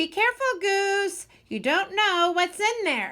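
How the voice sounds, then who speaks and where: Putting on a squeaky character voice at an extremely high pitch, a woman speaks at a fairly slow pace. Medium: read story.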